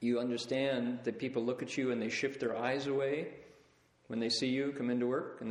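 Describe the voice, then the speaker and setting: Speaking with an American accent, a man at medium pitch keeps a moderate pace and fairly even intonation. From US Midwest, Toledo, Ohio. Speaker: Buddhist teacher. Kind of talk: lecture. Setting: lecture hall with live audience. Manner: conversational.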